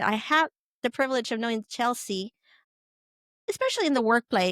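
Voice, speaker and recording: In a Spanish accent, a woman with a high pitch talks at a moderate pace, captured in a very clean recording with a silent background and a dry, close sound free of echo. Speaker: podcast host. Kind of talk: podcast introduction.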